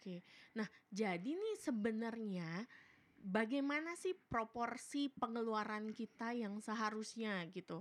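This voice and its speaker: A woman with a fairly high pitch, lively intonation and an animated tone. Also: fairly slow pace. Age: young. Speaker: podcast host. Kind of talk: casual interview chat.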